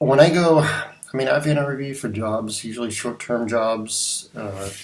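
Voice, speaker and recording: Moderate pace, ordinary pitch variation and big swings in loudness, with audible room echo and noticeable background noise. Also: man, medium pitch for a man. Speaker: graphic designer sharing career advice. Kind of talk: casual talking-head video. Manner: halting, many fillers and restarts.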